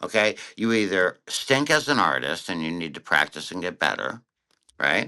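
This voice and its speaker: With an American accent and vocal fry, a man speaks at a very deep, low pitch that swings very widely, in a bright, sharp tone at a moderate pace. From Connecticut, US. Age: 60s. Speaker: cartoonist and author. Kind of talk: interview.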